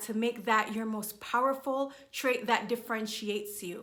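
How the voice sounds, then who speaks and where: The voice has a bright, sharp tone and moves at a moderate pace. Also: woman. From Jamaica. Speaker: business and confidence coach. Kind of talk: motivational talk to camera.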